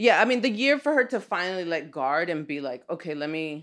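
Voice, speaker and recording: Against a quiet background, a woman speaks fairly quickly in a plain, everyday voice with an American accent and a fairly low pitch. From Los Angeles, Echo Park. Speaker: artist and teacher. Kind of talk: casual interview. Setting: in host's home.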